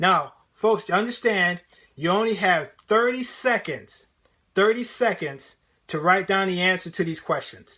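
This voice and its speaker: A man with a high pitch, a bright, sharp tone and an energetic tone speaks in a raised, projected voice with ordinary pitch variation, on a very clean recording with a silent background. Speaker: motivational speaker and sales trainer. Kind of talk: live-streamed interactive training. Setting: live stream. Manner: fast; energetic, conversational.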